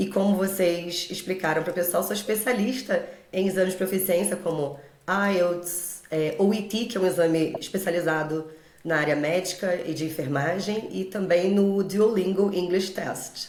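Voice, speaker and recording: In a Rio de Janeiro accent, the speaker talks at a fairly slow pace with fairly even intonation, over noticeable background noise and audible room echo. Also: woman, medium pitch for a woman. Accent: Rio de Janeiro (carioca) Brazilian Portuguese. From Brazil, Rio de Janeiro. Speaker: English teacher. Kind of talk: podcast interview.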